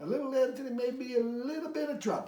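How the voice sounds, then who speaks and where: Racing along at a very fast pace, a man uses a put-on character voice at an extremely high pitch with ordinary pitch variation. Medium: read story. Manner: dry, knowing.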